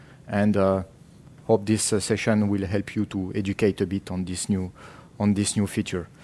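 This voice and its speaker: Recorded very cleanly over a silent background, a man with a French accent speaks at a moderate pace. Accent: French accent, noticeable. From France. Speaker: tech company marketing manager. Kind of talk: conference presentation. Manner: hesitant, many fillers and repetitions.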